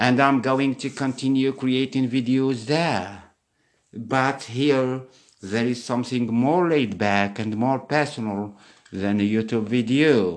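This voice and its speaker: Using ordinary pitch variation, a man of medium pitch speaks at a very slow pace. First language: not English. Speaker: English teaching podcaster. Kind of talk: solo podcast monologue.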